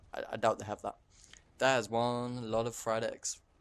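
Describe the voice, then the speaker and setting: Medium-pitched male speech with a British accent, monotone and flat, at a moderate pace. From England. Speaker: gaming YouTuber. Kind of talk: gameplay commentary. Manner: halting, with frequent stammers and repeats.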